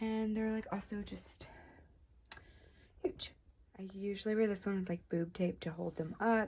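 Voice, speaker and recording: Pausing long and often, a woman speaks in a somewhat breathy voice with fairly even intonation. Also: medium pitch for a woman, moderate pace. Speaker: vlogger. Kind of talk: casual vlog.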